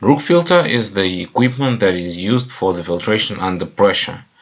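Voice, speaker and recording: A man speaks in a Russian accent. His intonation is lively. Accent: non-native English, Russian. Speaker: chemical equipment presenter. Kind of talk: webinar presentation. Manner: halting, many fillers.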